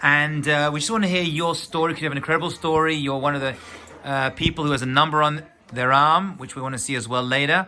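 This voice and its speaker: A man's fairly high voice at a very fast pace, with fairly even intonation and noticeable background noise. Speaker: rabbi, interviewer. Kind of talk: interview questions.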